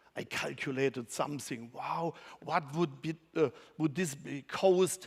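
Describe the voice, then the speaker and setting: A man with a German accent at a fairly slow pace, on a very clean recording with a silent background. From Germany. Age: 50s. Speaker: conference speaker. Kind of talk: conference talk. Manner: halting.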